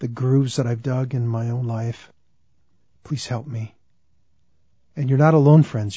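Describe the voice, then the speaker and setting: This man talks at a moderate pace in a medium pitch, somewhat breathy, with long, frequent pauses. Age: 60s. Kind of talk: religious teaching talk. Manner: earnest, conversational with repetitions.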